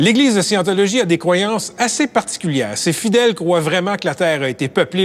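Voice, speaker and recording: A man talks with a high pitch. His voice makes very wide pitch swings. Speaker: TV reporter. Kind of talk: TV documentary narration.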